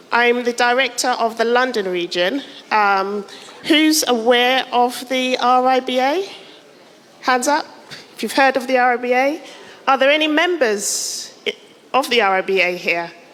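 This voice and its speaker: Over noticeable background noise, a woman with a high pitch and lively intonation speaks at a moderate pace, leaving long, frequent pauses. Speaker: architect and professional body director. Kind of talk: conference presentation.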